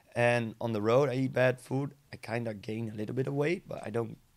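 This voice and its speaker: A man with a Dutch accent, at a moderate pace. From Netherlands. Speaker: DJ and vlogger. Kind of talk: casual chat. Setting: studio. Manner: halting.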